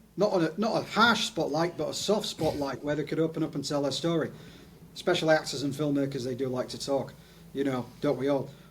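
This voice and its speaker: This man talks at a very fast pace. His fairly high voice comes through noticeable background noise. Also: ordinary pitch variation. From northern England (Leeds, Yorkshire). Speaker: video producer, testimonials specialist. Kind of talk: interview.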